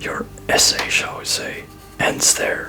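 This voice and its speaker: A man's whispering, put-on character voice at a fairly slow pace, with clear music in the background. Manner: sarcastic.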